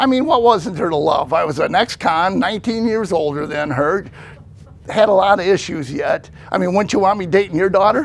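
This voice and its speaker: A man with a high-pitched voice and lively intonation talks at a fairly quick pace over noticeable background noise. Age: 60s. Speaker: pastor and ex-convict sharing testimony. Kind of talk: testimony. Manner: casual, conversational.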